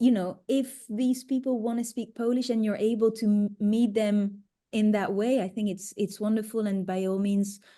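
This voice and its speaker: In a French accent, a woman speaks in a flat monotone with a dark, mellow, somewhat breathy tone against a quiet background. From France. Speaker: psychedelic retreat facilitator. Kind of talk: webinar Q&A.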